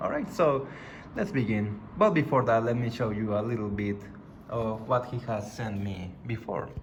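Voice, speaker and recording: A man at a moderate pace with a non-native accent, audible room echo around him. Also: medium pitch for a man, ordinary pitch variation. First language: not English. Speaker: gaming YouTuber. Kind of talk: unboxing video.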